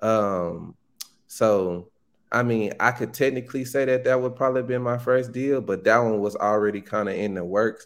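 A man with a Southern US accent and fairly even intonation, on a very clean recording with a silent background. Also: medium pitch for a man, moderate pace. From Arkansas, Pine Bluff (US South). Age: young. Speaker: real estate wholesaler. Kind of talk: casual interview.

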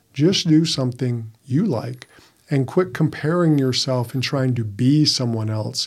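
A man talks at a fairly slow pace and medium pitch, with ordinary pitch variation. He has a plain, everyday voice. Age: 50s. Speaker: podcast co-host, men's coach. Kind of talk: casual chat.

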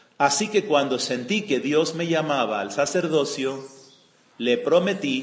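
Amid audible room echo, a man with a fairly high pitch speaks very slowly with lively intonation. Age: 60s. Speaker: retreat speaker giving a spiritual talk. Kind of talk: spiritual testimony.

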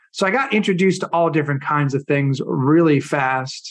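A man with an American accent at a moderate pace against a quiet background. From Florida. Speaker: hypnotherapist and performance coach. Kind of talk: casual interview.

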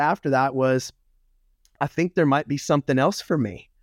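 With an ordinary speaking voice, a man speaks at a fairly high pitch with fairly even intonation, his sound dry and close with no echo in a very clean recording with a silent background. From Louisiana, US South. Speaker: motivational speaker and former pastor. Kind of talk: casual interview chat.

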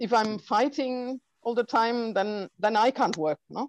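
A woman speaks in a German accent at a fairly slow pace. The sound is dry and close, with no echo. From Germany (Heilbronn, Baden-Württemberg). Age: 50s. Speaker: documentary filmmaker. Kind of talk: interview. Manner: halting, with many fillers.

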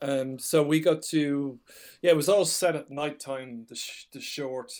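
Speaking at a moderate pace, a man with a slight Irish accent has a fairly high pitch. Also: big swings in loudness. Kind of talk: casual chat. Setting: remote recording, video call.

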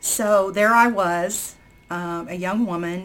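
At a very slow pace, the speaker talks with an American accent. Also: woman. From southern Indiana, near Louisville. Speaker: birth mother. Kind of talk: personal testimony. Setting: remote call.

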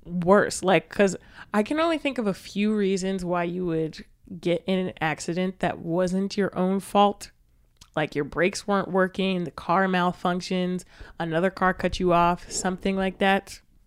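A woman with an ordinary speaking voice, medium pitch, moderate pace and fairly even intonation, in a very clean recording with a silent background. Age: 20s. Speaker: podcast co-host. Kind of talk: casual chat.

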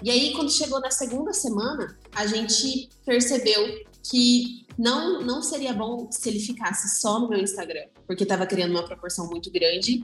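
A woman's high voice with lively intonation and hardly any pauses, over noticeable background noise. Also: moderate pace. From interior of São Paulo state, Brazil. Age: 20s. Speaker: photographer. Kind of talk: casual chat.

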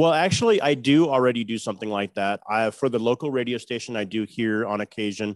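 A man talks at a very fast pace with hardly any pauses. The sound is dry and close with no echo, on a very clean recording with a silent background. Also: medium pitch for a man, ordinary pitch variation. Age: 40s. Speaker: truck driver. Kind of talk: casual interview.

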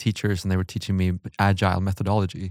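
A man with a Swedish accent and a fairly low pitch is heard in a dry, close sound with no echo. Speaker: podcast host. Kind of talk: interview. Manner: halting.

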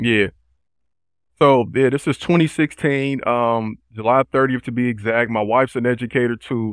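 A man speaks at a medium pitch and a moderate pace in an ordinary speaking voice, with fairly even intonation. The sound is dry and close with no echo, on a very clean recording with a silent background. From Chicago South Side, US. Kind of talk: interview.

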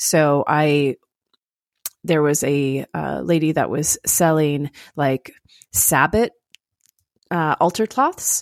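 In a very deep, low voice with an American accent, a woman speaks at a very slow pace with ordinary pitch variation and long, frequent pauses, on a very clean recording with a silent background. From US South, Florida/Georgia. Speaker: podcast co-host, practicing witch. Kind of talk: casual chat.

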